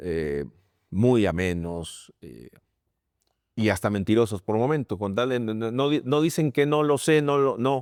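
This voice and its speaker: In a very clean recording with a silent background, a man speaks at medium pitch and a fairly slow pace, his pitch swinging very widely. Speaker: sports commentator. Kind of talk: interview.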